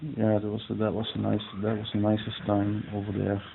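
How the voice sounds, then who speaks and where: A man talks at a moderate pace in a medium pitch. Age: 40s. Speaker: interviewee, local resident. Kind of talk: interview. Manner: halting, many repetitions.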